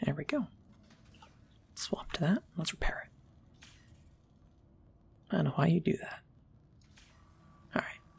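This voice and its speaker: Soft-spoken, the speaker leaves long, frequent pauses. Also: fairly slow pace. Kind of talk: ASMR gameplay commentary. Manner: soft-spoken, quiet.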